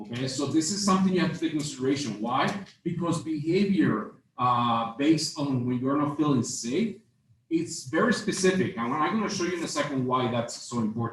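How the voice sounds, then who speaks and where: At a fairly quick pace, a somewhat breathy man with a non-native accent speaks at a fairly high pitch, with audible room echo. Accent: noticeable foreign. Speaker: marketing instructor. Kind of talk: lecture. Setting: stage with audience. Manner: hesitant, many fillers.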